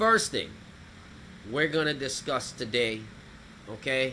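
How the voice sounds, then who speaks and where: The man's tone is bright and sharp. He keeps a moderate pace. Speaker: talk show host. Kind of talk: live talk show. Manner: loud.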